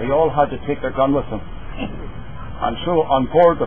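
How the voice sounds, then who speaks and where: Noticeable background noise accompanies a man talking fairly slowly. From Northern Ireland. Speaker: speaker giving a funeral appreciation. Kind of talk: funeral eulogy, personal reminiscence.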